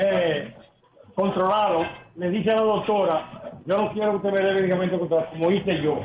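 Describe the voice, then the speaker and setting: A man with a high pitch and fairly even intonation speaks amid noticeable background noise. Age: 70s. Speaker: caller. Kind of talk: testimony. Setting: phone call.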